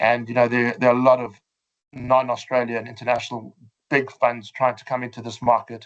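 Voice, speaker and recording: A man with a South African accent at a medium pitch, fairly quick and monotone, with big swings in loudness. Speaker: fund manager. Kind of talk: webinar presentation. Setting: online webinar. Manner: hesitant, many fillers.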